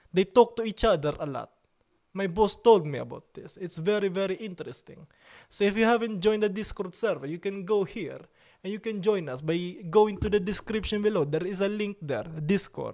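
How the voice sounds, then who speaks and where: A man with a strong Italian accent speaks in a high pitch with ordinary variation and a dark, mellow tone. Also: moderate pace. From Italy. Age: 30s. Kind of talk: casual chat with live chat readout. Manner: animated.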